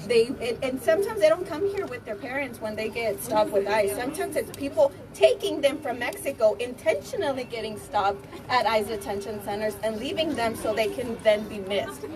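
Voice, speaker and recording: Loud and fairly quick, a woman speaks at a high pitch with very wide pitch swings over noticeable background noise. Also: hardly any pauses. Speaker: rally speaker. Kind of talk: protest speech.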